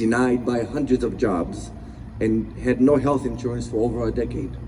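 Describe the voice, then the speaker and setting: A man with a non-native accent, noticeable background noise and audible room echo. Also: moderate pace. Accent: foreign. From abroad, immigrated as teenager. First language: not English. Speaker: motivational speaker, business owner. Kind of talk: motivational speech.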